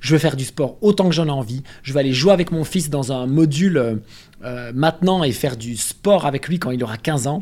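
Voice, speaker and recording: In a dark, mellow tone, a man speaks at a fairly high pitch. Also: ordinary pitch variation, moderate pace. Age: 30s. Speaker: nutrition and health content creator. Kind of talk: casual interview chat.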